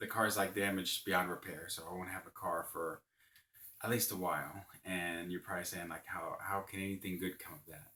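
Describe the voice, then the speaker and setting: A quiet man with a very deep, low voice and a bright, sharp tone, at a moderate pace. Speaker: vlogger. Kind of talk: casual vlog monologue. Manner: quiet, keeping voice down; hesitant, many fillers.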